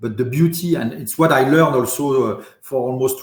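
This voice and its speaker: A fairly high-pitched man with a French accent. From France, raised in Paris. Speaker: industry association deputy president. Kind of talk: podcast interview. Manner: halting, many repetitions and fillers.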